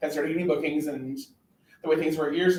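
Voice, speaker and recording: Here is a man with an American accent. His pitch is fairly high. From New York. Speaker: drag performer and show director. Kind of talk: casual chat. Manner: hesitant, many ums.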